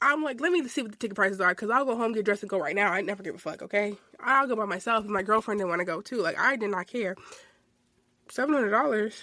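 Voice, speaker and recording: Her fairly high voice racing at a very fast pace, a woman talks with an animated tone and lively intonation. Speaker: podcast host. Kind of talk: casual monologue.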